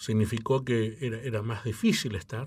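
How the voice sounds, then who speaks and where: In a somewhat breathy voice, a man speaks at a fairly slow pace over a quiet background. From Chile, Mapuche; Chile. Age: 60s. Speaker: opera tenor and choir director; interviewee. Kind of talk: interview; interview answer. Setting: radio studio. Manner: halting. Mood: calm, reflective. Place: studio. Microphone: studio mic.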